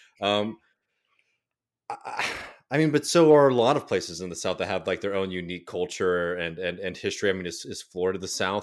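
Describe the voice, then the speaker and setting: Speaking very fast in an American accent, a man with a very deep, low pitch and ordinary pitch variation comes through on a very clean recording with a silent background. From Texas, Austin. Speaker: podcaster. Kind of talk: casual chat.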